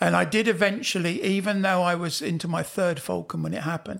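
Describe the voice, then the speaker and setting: A man with a British accent at a fairly quick pace, on a very clean recording with a silent background. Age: 70s. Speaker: falconer and author. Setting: at a falconry expo.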